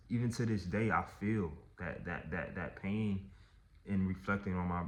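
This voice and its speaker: At a moderate pace, a man talks with a very deep, low pitch and ordinary pitch variation. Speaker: artist and vlogger. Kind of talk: personal storytelling vlog.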